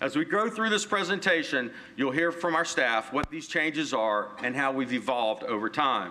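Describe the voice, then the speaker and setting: A man speaks loudly at a moderate pace, with hardly any pauses. His fairly high voice swings very widely in pitch. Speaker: city communications director. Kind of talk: presentation.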